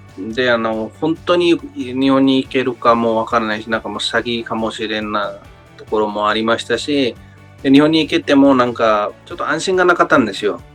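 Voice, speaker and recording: Over background music, a man talks at a fairly quick pace with a medium pitch and ordinary pitch variation. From Nepal. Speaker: worker in Japan, job-agency client. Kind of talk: interview answer. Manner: hesitant, many fillers.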